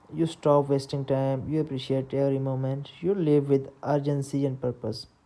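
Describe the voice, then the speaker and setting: A woman's very deep, low-pitched voice in a non-native accent, dark and mellow in tone, at a moderate pace. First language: not English. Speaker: book summary narrator. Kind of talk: reading aloud. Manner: halting.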